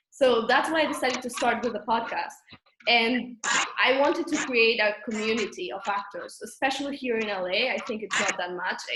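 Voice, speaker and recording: A fairly high-pitched woman at a fairly quick pace with ordinary pitch variation, over noticeable background noise. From Catalonia, Spain. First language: Catalan. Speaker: actor and podcast host. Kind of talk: interview conversation.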